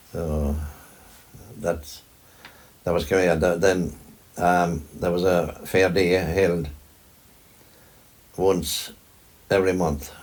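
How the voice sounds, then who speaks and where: A man at a very slow pace, monotone and flat in intonation, with long, frequent pauses. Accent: Kerry. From Ireland, County Kerry. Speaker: farmer. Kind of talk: interview answer.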